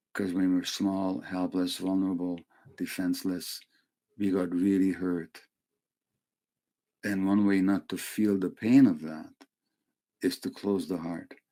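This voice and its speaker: This man talks at a fairly slow pace in a very deep, low pitch with a dark, mellow tone. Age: 80s+. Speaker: wellness teacher, former palliative care physician. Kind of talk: lecture.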